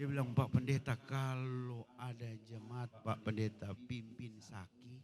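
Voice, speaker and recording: At a very slow pace, a man with a Manado accent talks at medium pitch with big swings in loudness. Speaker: pastor. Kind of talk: sermon. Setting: church service in hotel hall. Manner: animated.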